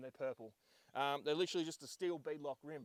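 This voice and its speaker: This man talks at a fairly quick pace with an Australian accent. The sound is dry and close, with no echo. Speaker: 4x4 vlogger. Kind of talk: vehicle rundown vlog. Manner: loud; hesitant, many ums.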